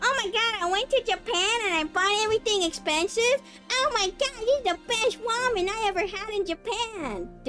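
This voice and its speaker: A put-on character voice plays over clear music in the background. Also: woman, extremely high pitch for a woman, moderate pace. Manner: exaggerated, gushing.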